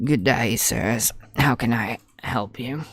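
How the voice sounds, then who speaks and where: Putting on a raspy character voice, a man speaks at a fairly slow pace and medium pitch with ordinary pitch variation. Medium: actual play. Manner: polite, unhurried.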